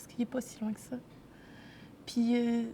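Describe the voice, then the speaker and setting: A woman's high-pitched voice with a dark, mellow tone. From Quebec, grew up in a city. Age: 20s. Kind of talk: interview testimony. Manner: halting, many hesitations.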